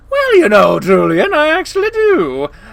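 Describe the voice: Putting on a character voice, a man uses an extremely high pitch, very wide pitch swings, vocal fry and a fairly bright tone at a moderate pace.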